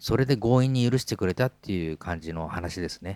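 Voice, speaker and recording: In a very clean recording with a silent background, a man speaks at a moderate pace and fairly low pitch, with ordinary pitch variation. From Hokkaido, Japan. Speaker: podcast host, musician. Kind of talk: casual chat. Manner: animated.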